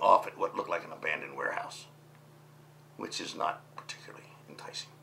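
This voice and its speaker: A man is whispering. He goes at a very fast pace. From Baltimore, Maryland, US. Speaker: water taxi business owner; interviewee. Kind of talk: oral history interview. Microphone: lapel.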